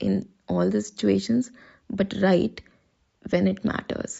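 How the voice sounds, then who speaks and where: A woman speaks at a fairly slow pace. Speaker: personal vlogger. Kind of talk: casual monologue.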